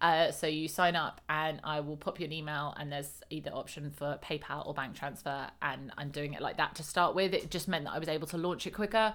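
With a British accent, a woman talks at a fairly quick pace with hardly any pauses, her very deep, low pitch carrying fairly even intonation. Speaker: lifestyle coach. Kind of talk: solo podcast monologue. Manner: casual, hesitant with many fillers; laughs often.

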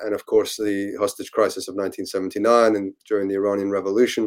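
An American accent comes through at a moderate pace in a very clean recording with a silent background. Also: man. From UK and US. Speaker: historian and author. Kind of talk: interview.

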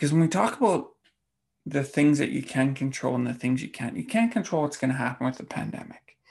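A man with an unremarkable speaking voice talks fairly quickly, his pitch fairly high and his intonation lively. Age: 40s. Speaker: fitness coach and podcast host. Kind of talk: solo podcast monologue.

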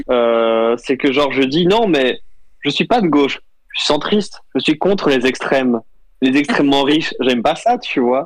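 This man has a normal speaking voice with a fairly high pitch and lively intonation. He keeps a fairly slow pace with very even loudness. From Switzerland. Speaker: visual artist and meme maker. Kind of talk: casual chat.

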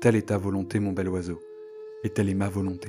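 Over noticeable background noise, a man with a fairly low pitch talks at a fairly quick pace in a gentle, dramatic tone. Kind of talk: storytelling, scripted-style folk tale narration. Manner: animated storyteller, lively and expressive; voices characters, with a gentle, dramatic delivery.

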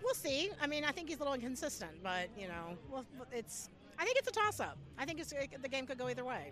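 A woman talks very fast in a high voice with very wide pitch swings. Noticeable background noise runs underneath. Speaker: Steelers fan. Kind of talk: casual chat. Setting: outdoors at a stadium tailgate.

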